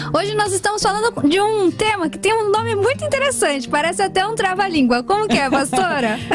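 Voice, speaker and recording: A woman speaks at an extremely high pitch with very wide pitch swings and an upbeat tone. Her pace is fairly quick, with music in the background. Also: hardly any pauses. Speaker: radio host. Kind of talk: radio talk show hosting. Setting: radio studio. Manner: upbeat, friendly.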